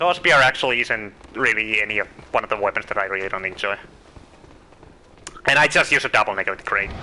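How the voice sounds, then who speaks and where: A man with a Finnish accent, fairly low pitch, ordinary pitch variation and a very fast pace broken by long, frequent pauses, over noticeable background noise. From Finland. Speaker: video game streamer. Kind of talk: live gameplay commentary.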